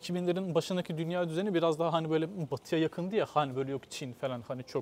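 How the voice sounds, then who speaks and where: Talking at a very fast pace, a man keeps his pitch fairly high. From Istanbul, Turkey (born in Kütahya). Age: 20s. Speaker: mechanical engineer. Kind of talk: casual interview. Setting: outdoors, walking on a street.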